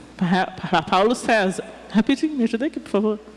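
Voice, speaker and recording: A woman with a fairly high pitch and ordinary pitch variation is heard over noticeable background noise. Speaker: preacher. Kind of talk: sermon. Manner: animated.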